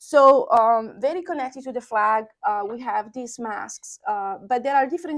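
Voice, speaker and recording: Against a quiet background, a woman with a Sardinian accent and a high pitch speaks at a moderate pace with lively intonation. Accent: Italian (Sardinian). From Sardinia, Italy. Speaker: associate professor. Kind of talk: oral history interview answer.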